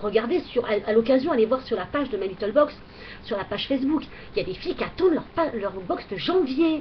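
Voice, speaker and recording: A woman's high voice moves at a fairly quick pace with lively intonation. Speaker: beauty vlogger. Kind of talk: product review vlog. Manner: hesitant, many fillers.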